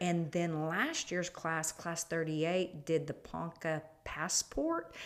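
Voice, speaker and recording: Over noticeable background noise, a speaker with an American accent talks at a very slow pace in a monotone, flat intonation. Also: woman, fairly low pitch for a woman. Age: 60s. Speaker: chamber of commerce president, retired school superintendent. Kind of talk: casual interview.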